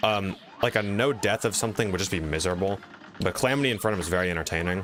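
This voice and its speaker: Over noticeable background noise, a man talks at a very fast pace with a fairly low pitch and ordinary pitch variation. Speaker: YouTuber and game streamer. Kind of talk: live stream commentary with chat. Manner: casual, hesitant fillers.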